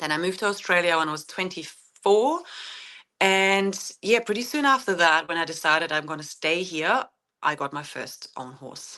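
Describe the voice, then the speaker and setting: A woman with a German accent speaks at a moderate pace in a fairly low pitch, with a bright, sharp tone and lively intonation. Her loudness swings widely against a quiet background. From Germany. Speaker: horse owner and author. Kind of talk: podcast interview. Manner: halting, many fillers.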